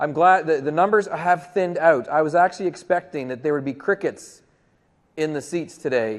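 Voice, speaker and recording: In a normal speaking voice with a Canadian accent, a man talks at a fairly quick pace. His pitch is fairly high with ordinary variation, over a quiet background. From Canada. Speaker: tech conference presenter. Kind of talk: conference presentation. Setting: stage with audience.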